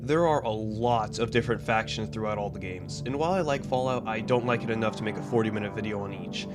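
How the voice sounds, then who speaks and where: Music plays behind a man who speaks very fast at a medium pitch with lively intonation. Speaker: gaming video essayist. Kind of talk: video essay narration.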